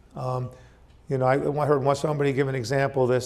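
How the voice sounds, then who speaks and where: A man's fairly high, monotone, flat delivery amid audible room echo. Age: 60s. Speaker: company founder and CEO. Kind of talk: motivational talk. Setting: stage with audience. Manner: hesitant, many fillers.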